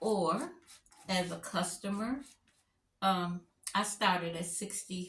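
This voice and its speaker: A woman at a very slow pace, with fairly even intonation and long, frequent pauses. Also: medium pitch for a woman. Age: 60s. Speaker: crafter and stencil designer. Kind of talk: live craft tutorial. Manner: casual, chatty.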